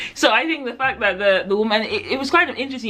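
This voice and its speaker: A woman's very fast, lively speech over noticeable background noise. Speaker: book reviewer. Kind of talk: casual chat. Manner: hesitant, many fillers.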